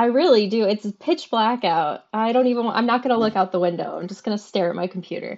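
Her fairly high pitch rises and falls with lively intonation. The woman talks at a very fast pace with hardly any pauses. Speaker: podcast co-host. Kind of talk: casual chat.

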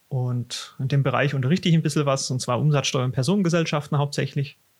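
Very fast, somewhat breathy male speech at a medium pitch with fairly even intonation. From Swabia, southern Germany. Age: 30s. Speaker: tax advisor and exam tutor. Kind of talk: casual podcast chat.

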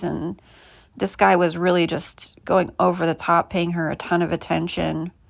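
On a very clean recording with a silent background, a woman speaks with an American accent. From US Midwest (Indianapolis). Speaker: podcaster. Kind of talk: casual monologue.

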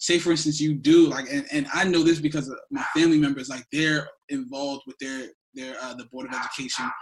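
Fairly high-pitched and quick, a man speaks with an American accent in a flat monotone. His loudness swings widely. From New Jersey. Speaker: podcast co-host. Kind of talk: casual chat.

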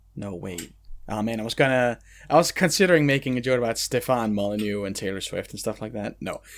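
A man's medium-pitched voice at a very fast pace, with lively intonation and big swings in loudness, in a very clean recording with a silent background. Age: 30s. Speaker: anime podcast host. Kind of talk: casual chat.

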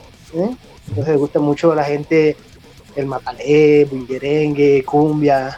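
In a normal speaking voice, the speaker goes at a fairly slow pace with fairly even intonation. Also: man, fairly high pitch for a man. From Colombian Caribbean coast, Cereté, Córdoba. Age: 30s. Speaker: chef, metal fan. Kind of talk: casual interview.

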